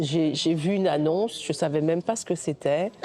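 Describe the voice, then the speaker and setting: Dark and mellow in tone, a woman speaks at a fairly low pitch. Her pitch variation is ordinary. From Guadeloupe, raised in mainland France from age 6. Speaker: film director. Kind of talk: interview. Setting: recorded at a film festival. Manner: halting, many hesitations and repetitions.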